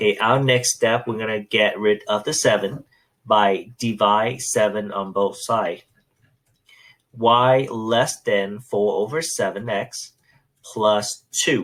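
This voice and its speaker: A man speaks in a normal speaking voice at a medium pitch, with fairly even intonation. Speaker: math teacher. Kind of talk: tutorial.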